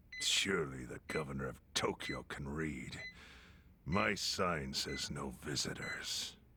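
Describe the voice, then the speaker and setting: A raspy, very deep put-on character voice from a man, fairly slow, with ordinary pitch variation. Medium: video game. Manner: dry, stern, dignified.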